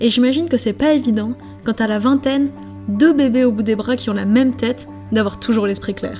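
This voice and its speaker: Fairly quick, fairly high-pitched speech from a woman with fairly even intonation, music in the background. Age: 20s. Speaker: documentary filmmaker. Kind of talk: scripted narration.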